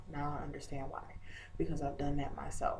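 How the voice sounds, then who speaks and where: Lively intonation comes through with audible room echo. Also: woman. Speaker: video blogger. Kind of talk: casual vlog update. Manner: hesitant, many fillers.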